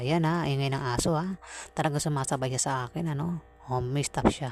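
In a very clean recording with a silent background, a woman speaks at a moderate pace with ordinary pitch variation. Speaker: tarot card reader. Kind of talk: tarot reading. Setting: noisy home surroundings. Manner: halting.

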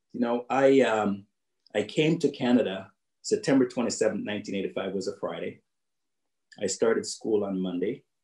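A dark, mellow tone comes through with audible room echo, long and frequent pauses, and a quiet background. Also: man, medium pitch for a man, ordinary pitch variation, fairly slow pace. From Jamaica. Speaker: business executive and keynote speaker. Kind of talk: keynote speech. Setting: video call. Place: home room. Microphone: video call.

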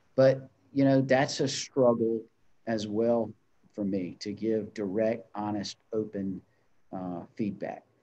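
With a Southern US accent, a man speaks at a very slow pace in a dark, mellow tone with fairly even intonation. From US South (North Carolina). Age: 30s. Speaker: chamber of commerce executive; guest. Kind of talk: interview. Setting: video call. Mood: reflective, earnest. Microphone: video call.

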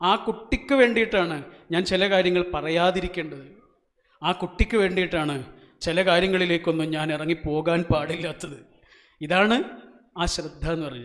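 A man with a high pitch talks with ordinary pitch variation. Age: 40s. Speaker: motivational speaker. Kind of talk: motivational speech. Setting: stage with audience.

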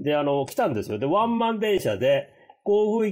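The background stays quiet while the man is speaking. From Japan, raised in the US from childhood (San Francisco). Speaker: podcast co-host. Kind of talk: casual chat. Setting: hotel room, remote call. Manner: hesitant, many fillers. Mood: amused, lively. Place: home room.

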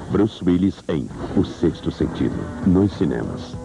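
A man talks fairly slowly while noticeable noise fills the background. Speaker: voice actor. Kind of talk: movie trailer.

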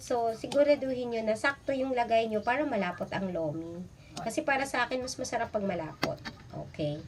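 With an animated tone, a woman speaks at a moderate pace and fairly high pitch, her pitch swinging very widely. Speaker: cooking vlogger. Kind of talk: cooking tutorial. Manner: chatty, animated.

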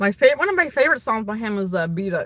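A woman's tone is bright and sharp. The sound is dry, with no echo. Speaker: streamer answering viewer questions. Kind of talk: casual livestream Q&A chat. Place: car. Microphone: phone near.

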